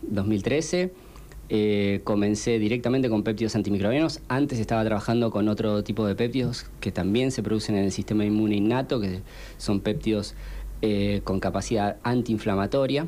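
Speaking with a Rioplatense accent, a man uses a fairly low pitch and a dark, mellow tone. His loudness stays very even. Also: ordinary pitch variation, moderate pace. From Argentina, Pilar (Buenos Aires). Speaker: scientist researching antimicrobials. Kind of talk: radio interview.

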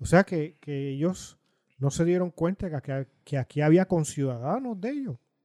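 With a dark, mellow tone pitched high for a man, this man speaks at a moderate pace with lively intonation, recorded very cleanly with a dry, close sound, no echo and a silent background. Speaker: political podcast co-host. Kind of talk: political commentary chat.

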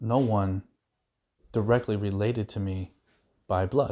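In a New Jersey accent, a man speaks at a fairly slow pace, fairly low in pitch, with fairly even intonation. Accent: New Jersey American. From New Jersey, US. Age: 40s. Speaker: podcast host, contractor. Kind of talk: casual monologue.

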